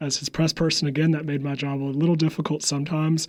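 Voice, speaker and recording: A man with a slight Southern accent talks at a fairly quick pace in a fairly high pitch. The recording is very clean, with a silent background. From US South, upstate South Carolina. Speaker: public relations staffer, former Senate press secretary. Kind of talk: interview.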